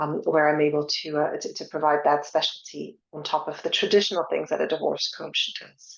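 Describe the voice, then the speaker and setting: Talking at a fairly quick pace, a woman speaks with a French accent. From France. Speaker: divorce coach. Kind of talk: webinar presentation. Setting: online webinar.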